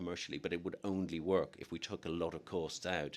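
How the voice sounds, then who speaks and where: A man's monotone, flat delivery in a Dublin accent. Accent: Irish, Dublin. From Ireland, Dublin. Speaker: newspaper editor. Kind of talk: interview answer.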